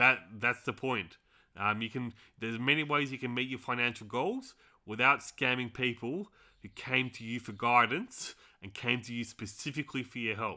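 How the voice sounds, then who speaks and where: In an Australian accent, a man speaks at a moderate pace with a bright, sharp tone. The recording is very clean, with a silent background. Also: medium pitch for a man, ordinary pitch variation, big swings in loudness. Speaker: finance tutorial teacher. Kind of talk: tutorial. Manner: casual, hesitant with many fillers.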